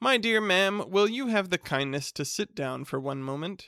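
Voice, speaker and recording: A man's put-on character voice, high-pitched with very wide pitch swings, in a very clean recording with a silent background. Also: moderate pace. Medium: read story.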